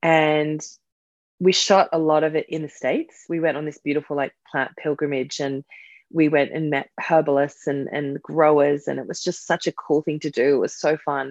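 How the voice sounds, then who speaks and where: A woman with an Australian accent, very deep and low in pitch, monotone and flat, at a moderate pace, in a dry, close sound with no echo against a quiet background. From Australia, suburban Sydney. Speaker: herbalist and author. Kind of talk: casual chat.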